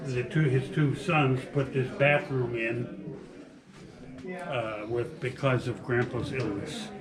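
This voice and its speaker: A man's medium-pitched voice at a very slow pace, with ordinary pitch variation, audible room echo and noticeable background noise. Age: 80s+. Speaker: former family member of cabin residents. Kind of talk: reminiscence at open house. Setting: open house event, indoors. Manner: halting. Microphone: rough sound, equipment issues.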